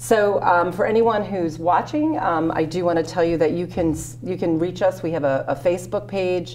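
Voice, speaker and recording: A woman with an American accent, fairly low in pitch with ordinary pitch variation, an ordinary speaking voice, moderate pace and hardly any pauses, over light background noise. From Connecticut, US. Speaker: party chair and host; host. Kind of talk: casual interview. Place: studio.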